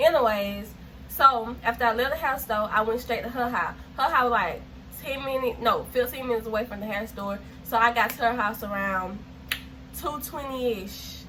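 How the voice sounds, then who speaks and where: A woman with a fairly high pitch is heard over noticeable background noise and audible room echo. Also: ordinary pitch variation. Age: 19. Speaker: YouTuber. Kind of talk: storytime vlog. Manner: fast; animated.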